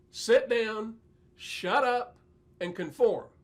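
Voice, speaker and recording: Through noticeable background noise, a man with an American accent and a high pitch speaks at a very slow pace. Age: 60s. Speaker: preacher. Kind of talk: bible teaching monologue.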